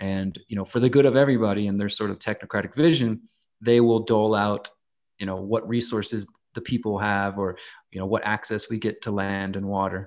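A man with an American accent and an ordinary speaking voice, fairly low in pitch, at a fairly quick pace, with fairly even intonation and a quiet background. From Texas, Houston. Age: 30s. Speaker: activist and journalist. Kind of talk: podcast interview.

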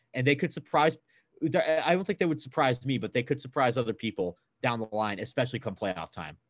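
Recorded with a dry, close sound and no echo, a man with an American accent and an ordinary speaking voice talks at a medium pitch and a fairly quick pace with lively intonation. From US West Coast, Bay Area (Oakland). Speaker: college student, sports fan. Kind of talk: casual chat.

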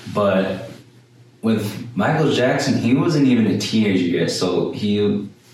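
Over noticeable background noise and with audible room echo, a man speaks at a fairly slow pace. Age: young. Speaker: student podcast co-host. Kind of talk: casual chat; scripted narration. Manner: halting.

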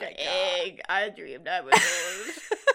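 A croaky put-on character voice at a fairly slow pace, over light background noise.

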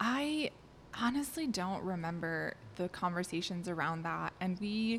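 A woman with a normal speaking voice talks in an American accent at a fairly slow pace. Her medium pitch moves in lively intonation while her loudness stays very even. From US Midwest, southeast Wisconsin. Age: 20s. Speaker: army physician. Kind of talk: testimony.

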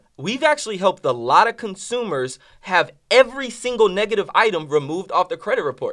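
A man with a high pitch talks in an energetic tone at a fairly quick pace, with hardly any pauses and very wide pitch swings. The recording is very clean, with a silent background. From New Orleans, Louisiana. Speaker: credit repair business owner. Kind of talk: casual interview.

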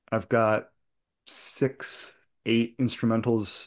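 In a quiet background, a man with an American accent speaks in a flat monotone. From New England (outside Boston). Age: 40s. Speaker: bluegrass musician. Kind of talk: casual interview chat.

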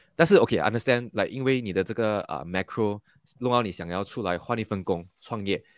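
A man talks at a very fast pace with a fairly low pitch and ordinary pitch variation. The recording is very clean, with a silent background and a dry, close sound with no echo. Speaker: podcast host interviewing entrepreneurs. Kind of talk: interview. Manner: frequent fillers and hesitations.

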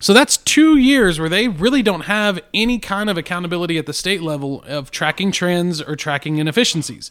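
The intonation is lively in this voice with a West Texas accent. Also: man, high pitch for a man, hardly any pauses. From Texas Panhandle (Amarillo). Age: 40s. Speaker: podcast co-host, school educator. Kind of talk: casual chat.

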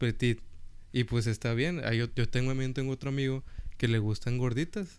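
This man has a plain, everyday voice at medium pitch, speaking at a moderate pace with ordinary pitch variation and very even loudness. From US South, Rio Grande Valley, Texas. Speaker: podcast co-host, university student. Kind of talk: casual chat.

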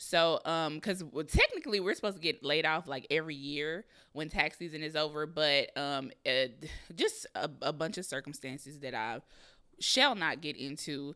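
On a very clean recording with a silent background, a woman speaks at a moderate pace with a very deep, low pitch, a bright, sharp tone and ordinary pitch variation. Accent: American. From Kansas City, Missouri. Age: 30s. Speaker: podcast host. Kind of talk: personal monologue, casual.

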